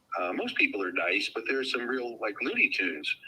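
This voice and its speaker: A man speaks over noticeable background noise. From New Jersey, USA. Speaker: professional wrestling ring announcer and voice over artist. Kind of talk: interview answer.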